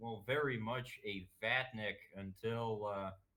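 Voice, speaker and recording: A man talks at a very slow pace. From Russia, Moscow. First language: Russian. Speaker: political streamer. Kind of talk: interview. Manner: halting, many fillers.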